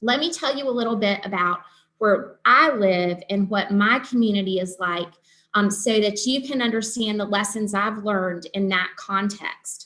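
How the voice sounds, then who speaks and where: A woman speaks with a Southern US accent at a moderate pace. Her tone is bright and sharp, and her pitch varies in an ordinary way. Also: medium pitch for a woman. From Eastern North Carolina. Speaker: nurse practitioner and nursing professor; nursing professor. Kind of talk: lecture. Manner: hesitant with many ums. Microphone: video call.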